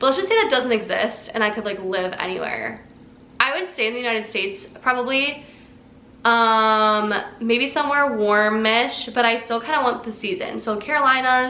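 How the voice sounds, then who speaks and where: A woman with a fairly high pitch and ordinary pitch variation speaks amid audible room echo. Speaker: fitness vlogger. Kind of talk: casual chat. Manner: fast.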